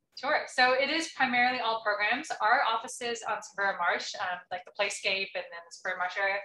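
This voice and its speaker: At a very fast pace with hardly any pauses, a woman with an American accent uses lively intonation and a bright, sharp tone at a fairly high pitch, her loudness swinging widely. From Texas. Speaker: nonprofit development director. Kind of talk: presentation and Q&A. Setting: club meeting with audience.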